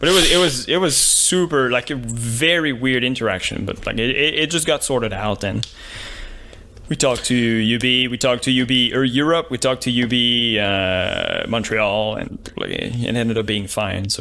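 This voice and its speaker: Noticeable background noise comes through as a man speaks at a moderate pace. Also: medium pitch for a man, ordinary pitch variation. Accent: French. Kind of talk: casual, dropping H sounds.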